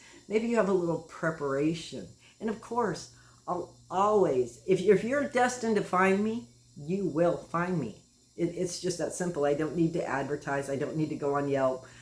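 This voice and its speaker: Noticeable background noise sits behind a woman speaking at a moderate pace. Her pitch is fairly low and her intonation lively. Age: 60s. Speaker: end-of-life companion, death walker. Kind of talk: personal monologue. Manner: halting.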